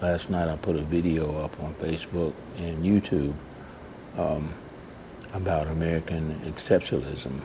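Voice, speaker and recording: A quiet man's very deep, low voice amid noticeable background noise. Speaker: vlogger. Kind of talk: casual vlog monologue. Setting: public library. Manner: quiet, keeping voice down; halting, many fillers.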